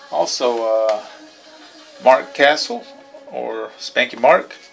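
Faint music can be heard in the background while a man talks. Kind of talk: casual vlog chat. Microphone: phone near.

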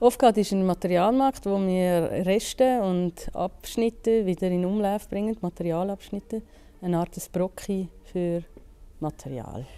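In a Zurich accent, a woman with a dark, mellow tone talks at a fairly slow pace with ordinary pitch variation. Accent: Zurich Swiss German dialect. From Zurich, Switzerland. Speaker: business economist, co-founder of a material market. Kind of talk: interview answer. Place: factory. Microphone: lapel.

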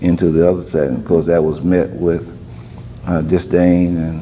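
A man speaks with a Louisiana accent in a very deep, low pitch. His intonation stays fairly even over light background noise. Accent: Southern US, Louisiana. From Denham Springs, Louisiana. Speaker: former student advocate; interviewee. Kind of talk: oral history interview answer. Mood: calm, reflective. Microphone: lapel.

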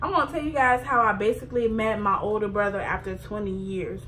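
At a fairly quick pace, a woman speaks at medium pitch with fairly even intonation.

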